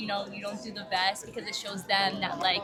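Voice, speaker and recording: A woman speaks at a fairly quick pace with audible room echo. Crowd noise carries in the background. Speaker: tourist. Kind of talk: street interview.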